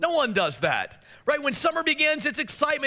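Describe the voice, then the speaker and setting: A man's extremely high-pitched, raised and projected voice, bright and sharp in tone, at a fairly quick pace. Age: 40s. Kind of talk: sermon. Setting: church. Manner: fast talker.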